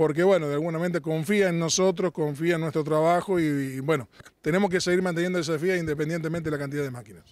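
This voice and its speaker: With a dry sound and no echo, a man talks at a very fast pace in a high pitch, with fairly even intonation. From Argentina. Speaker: farm machinery sales representative; sales representative. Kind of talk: trade show interview. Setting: trade exhibition. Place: open country. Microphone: handheld.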